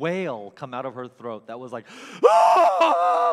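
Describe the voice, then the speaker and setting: Very wide pitch swings in a man's high voice, with noticeable background noise. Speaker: guest preacher. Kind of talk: sermon. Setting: church. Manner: warm, conversational.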